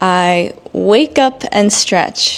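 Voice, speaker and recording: A woman speaks at a very slow pace. Her pitch sits in the medium range. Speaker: English teacher. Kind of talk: tutorial. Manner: normal native pace in this episode.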